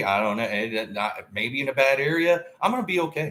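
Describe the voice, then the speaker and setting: Speaking in a Southern US accent, a man uses a medium pitch with very wide pitch swings, a bright, sharp tone and vocal fry. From US South, Tennessee. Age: 50s. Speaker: podcaster. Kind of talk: casual monologue. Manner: rambling, halting.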